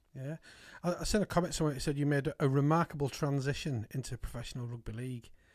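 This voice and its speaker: Spoken at a very fast pace with ordinary pitch variation, this is a very clean recording against a silent background. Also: man, fairly high pitch for a man. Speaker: podcast host. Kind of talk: casual interview chat. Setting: studio.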